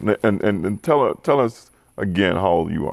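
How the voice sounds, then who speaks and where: With a plain, everyday voice, this speaker moves at a fairly quick pace and uses lively intonation. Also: man. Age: 60s. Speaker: pastor. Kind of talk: panel discussion.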